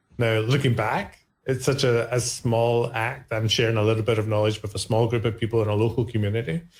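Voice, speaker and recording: In a very clean recording with a silent background, a man talks at a fairly quick pace and medium pitch, somewhat breathy, with monotone, flat intonation. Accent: Scottish. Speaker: cloud-native community ambassador. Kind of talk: podcast interview. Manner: casual, hesitant with repetitions.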